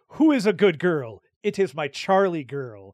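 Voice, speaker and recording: A man uses a put-on character voice with a high pitch at a moderate pace. The recording is very clean, with a silent background. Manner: affectionate, very enunciated.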